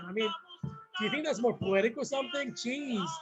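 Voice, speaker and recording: A man's animated tone over music in the background. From South Korea, moved to US as a child. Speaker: political candidate. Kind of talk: casual monologue. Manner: rambling with many fillers.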